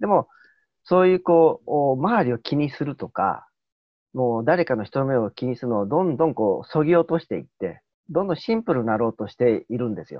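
Talking at a fairly quick pace, a man swings very widely in pitch. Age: middle-aged. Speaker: lecturer and youth mentor. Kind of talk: casual group chat on livestream.

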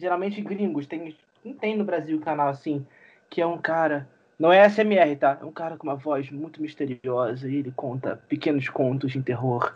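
Speaking at a moderate pace with ordinary pitch variation, this is a normal speaking voice. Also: man, fairly high pitch for a man. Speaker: podcast co-host. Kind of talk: casual chat.

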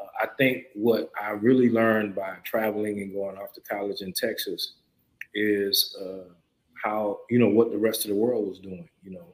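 A man with a South Carolina accent, a fairly low pitch, fairly even intonation and a moderate pace. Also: big swings in loudness. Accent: Southern US (South Carolina). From US South, rural South Carolina. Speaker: hemp farmer. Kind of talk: interview.

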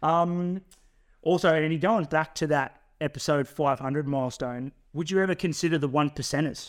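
A man with an Australian accent talks at a fairly quick pace and a fairly high pitch, his intonation fairly even, on a very clean recording with a silent background. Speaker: podcast co-host. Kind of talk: casual chat. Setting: studio.

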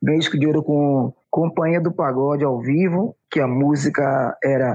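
A man is speaking. His pace is fairly slow. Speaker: pagode musician, percussionist. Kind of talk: casual interview.

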